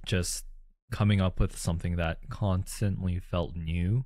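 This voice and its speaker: In an ordinary speaking voice with a Canadian accent, a man talks at a fairly slow pace and fairly low pitch with fairly even intonation, on a very clean recording with a silent background. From Calgary, Canada. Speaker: co-host, street photographer. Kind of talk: casual chat.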